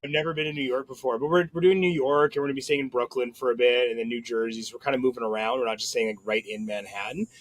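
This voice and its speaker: At a very fast pace, a man talks at medium pitch with ordinary pitch variation. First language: French. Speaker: podcast host. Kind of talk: casual chat. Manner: halting.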